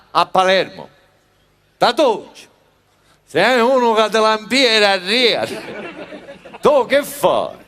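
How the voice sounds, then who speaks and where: A man speaks very slowly at a high pitch, leaving long, frequent pauses. His pitch varies in an ordinary way, and his loudness stays very even. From Sicily. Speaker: comedian. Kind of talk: cabaret comedy monologue.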